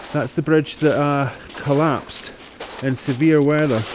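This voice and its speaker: A man with a Scottish accent talks very slowly at a fairly high pitch, with noticeable background noise. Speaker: mudlarker. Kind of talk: casual talk to camera. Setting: outdoors.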